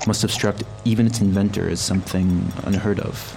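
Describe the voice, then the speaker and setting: Music plays in the background as a man speaks in a fairly low pitch. His intonation is monotone and flat, at a moderate pace. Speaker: narrator reading a text. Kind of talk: scripted narration reading aloud in English.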